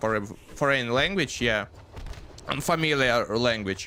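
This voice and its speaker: A man speaks fairly slowly while noticeable background noise carries on around him. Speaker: gaming streamer. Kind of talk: casual live stream chat. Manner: halting, many fillers.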